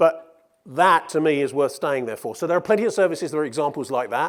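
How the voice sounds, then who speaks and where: A man with a British accent talks at a very fast pace, his pitch fairly high. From Britain. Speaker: media research executive. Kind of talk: conference keynote Q&A. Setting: stage with audience. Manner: animated.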